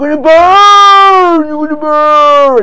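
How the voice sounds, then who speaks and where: A put-on character voice at a high pitch, with clear background noise. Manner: thundering, fervent.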